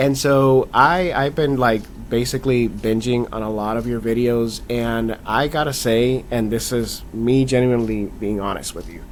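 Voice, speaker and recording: Noticeable background noise beneath a man's fairly evenly intoned voice. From Latin America. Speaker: interviewer, channel host. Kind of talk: casual interview.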